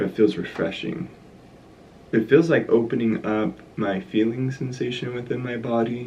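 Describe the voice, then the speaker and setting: At a moderate pace, a man speaks with a medium pitch and a dark, mellow tone. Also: ordinary pitch variation. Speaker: art vlogger. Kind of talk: casual vlog narration. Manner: soft-spoken; hushed.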